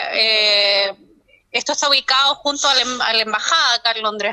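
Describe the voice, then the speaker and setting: A woman speaks in a raised, projected voice at a moderate pace with lively intonation. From Chile. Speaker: psychologist and doctoral researcher. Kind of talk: remote interview.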